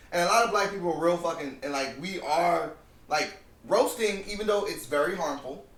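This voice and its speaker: A man with an American accent speaks in a high voice, with noticeable background noise and an audible room echo. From New Jersey. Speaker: podcast co-host. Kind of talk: casual chat. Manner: animated, repetitive with false starts.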